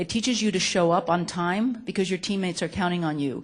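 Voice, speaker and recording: An animated tone carries ordinary pitch variation at a moderate pace, with a quiet background behind it. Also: woman. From Chile, then United States from age eight. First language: Spanish. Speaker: nonprofit executive director, speaker. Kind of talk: talk to students.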